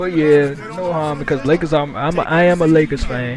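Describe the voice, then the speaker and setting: A man speaking with music in the background. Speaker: gaming youtuber. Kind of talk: gameplay commentary. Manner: halting.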